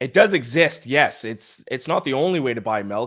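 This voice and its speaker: This man has a strong Nova Scotian accent and lively intonation at a moderate pace. The recording is very clean, with a silent background. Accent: Nova Scotian accent, fairly strong. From Nova Scotia, Canada. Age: 20s. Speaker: sports podcast co-host. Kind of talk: casual chat.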